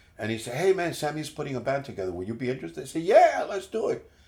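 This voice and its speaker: With vocal fry in his fairly high voice, a man talks at a very fast pace. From Puerto Rico and New York City. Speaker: musician and radio announcer. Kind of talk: casual interview, life story. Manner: kind, friendly, relaxed.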